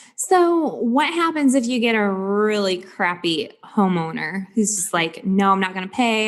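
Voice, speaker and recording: A woman with a slight Michigan accent, fairly slow, with very wide pitch swings. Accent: slight Michigan twang. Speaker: podcast host. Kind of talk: podcast interview.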